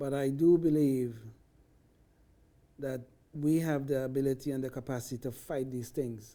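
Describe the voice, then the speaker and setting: A man with a non-native accent speaks at a fairly slow pace in a medium pitch, his dark, mellow tone held to a flat, monotone intonation. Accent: foreign. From foreign country (socialist-founded), moved to US at 20. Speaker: libertarian talk show panelist. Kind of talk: panel discussion.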